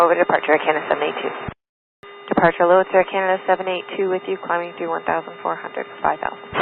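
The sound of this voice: A woman's fast, fairly low-pitched voice with vocal fry and little pitch movement.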